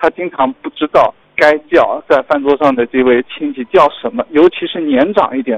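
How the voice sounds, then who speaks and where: A man is speaking. His pace is moderate. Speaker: radio caller sharing a personal story. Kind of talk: personal storytelling.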